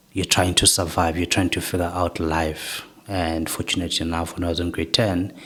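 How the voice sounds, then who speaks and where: Over noticeable background noise, a man speaks at a moderate pace with a very deep, low pitch and monotone, flat intonation. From South Africa, Katlehong (Gauteng township). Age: 20s. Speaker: guest, education movement founder. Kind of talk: personal life story interview.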